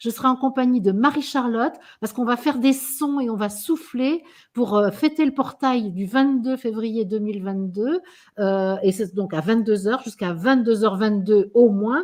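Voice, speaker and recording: A woman with a fairly high pitch and ordinary pitch variation sounds somewhat breathy as she talks at a moderate pace. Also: quiet background. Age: 60s. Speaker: spiritual guide. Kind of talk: casual chat.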